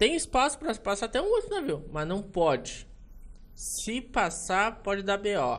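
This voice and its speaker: Pitched high, a man's voice moves at a fairly slow pace. His pitch swings very widely. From Rio Grande do Sul, Brazil. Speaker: ship photographer and port operations worker. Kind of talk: casual interview chat. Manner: halting.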